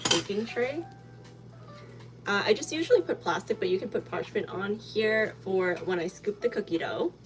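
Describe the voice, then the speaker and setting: A woman keeps a moderate pace as music sounds in the background. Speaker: baking channel host. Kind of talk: live baking tutorial. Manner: casual, filler-heavy.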